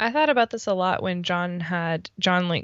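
A woman speaks at a moderate pace with a fairly low pitch and ordinary pitch variation. She has an ordinary speaking voice. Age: 30s. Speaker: podcast co-host. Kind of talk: casual chat.

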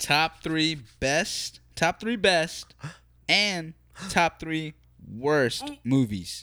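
A man with an American accent speaks very slowly at a fairly high pitch. The recording is very clean with a silent background. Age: 20s. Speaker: podcast host. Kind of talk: casual chat. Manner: animated.

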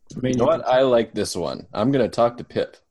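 A man uses a nasal, put-on character voice at a medium pitch. His delivery comes at a very fast pace.

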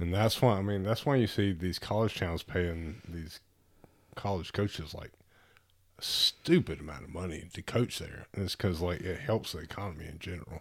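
A very clean recording with a silent background, a moderate pace, ordinary pitch variation and big swings in loudness. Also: man, very deep, low pitch for a man. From Alabama, Tuscaloosa. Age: 30s. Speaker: father. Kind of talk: casual chat.

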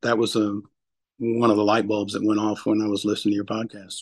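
In a dry, close sound with no echo, a man speaks at a fairly low pitch with monotone, flat intonation. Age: 60s. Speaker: banker and hunter. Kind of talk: podcast interview. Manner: halting, many fillers.

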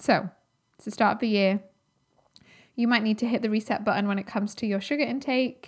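In a very clean recording with a silent background, the animated, somewhat breathy voice moves at a fairly quick pace broken by long, frequent pauses. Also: woman, fairly high pitch for a woman. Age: 30s. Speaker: podcast host and holistic nutritionist. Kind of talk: solo educational podcast monologue.

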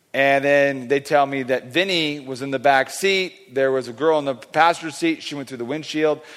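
In an American accent, a man with an ordinary speaking voice talks at a moderate pace and a fairly high pitch, his intonation fairly even but his loudness swinging widely, with hardly any pauses. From California. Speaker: guest preacher. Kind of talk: sermon. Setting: church.

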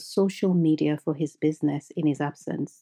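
In a very clean recording with a silent background and a dry, close sound with no echo, a woman with a dark, mellow tone speaks at a moderate pace. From Nigeria. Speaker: podcast host, mindset coach. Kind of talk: monologue podcast talk.

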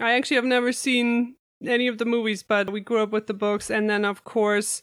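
With a German accent, a woman speaks at a moderate pace, her fairly high pitch showing ordinary variation. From Germany. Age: 30s. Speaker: pastry chef and podcaster. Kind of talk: casual interview chat. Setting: remote call from home.

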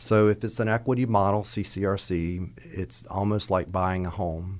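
This man has an ordinary speaking voice. It sits at a fairly low pitch with ordinary pitch variation. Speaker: home care agency founder. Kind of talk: interview discussion.

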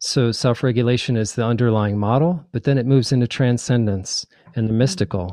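Against a quiet background, a man with an American accent speaks at a fairly quick pace in a dark, mellow tone of medium pitch with ordinary pitch variation. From New Jersey. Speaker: psychic and spiritual author. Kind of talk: interview.

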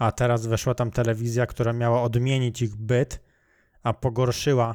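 A man talks at a fairly quick pace in an ordinary speaking voice, medium in pitch, on a very clean recording with a silent background. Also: dry, close sound with no echo. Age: 20s. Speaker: podcast host. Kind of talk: casual chat.

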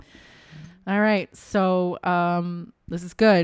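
In a very clean recording with a silent background and a dry, close sound with no echo, a woman speaks at a fairly low pitch with fairly even intonation. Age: 50s. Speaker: podcast co-host. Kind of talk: casual chat. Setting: home dining room recording. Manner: loud.

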